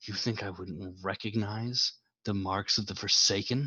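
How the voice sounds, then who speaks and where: A man does a put-on character voice at a fairly low pitch, with fairly even intonation and a moderate pace. The background is quiet apart from hissing. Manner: hissing menacingly.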